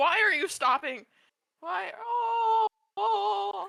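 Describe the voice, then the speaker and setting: A put-on character voice comes at a high pitch and a very slow pace, raised and projected, with very wide pitch swings. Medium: actual play. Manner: anxious, urgent.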